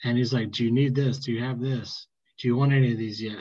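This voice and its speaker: A man speaks at a medium pitch in a somewhat breathy voice. His pace is fairly quick, his pitch varies in an ordinary way, and the background is quiet. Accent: American. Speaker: podcast host. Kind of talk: casual chat.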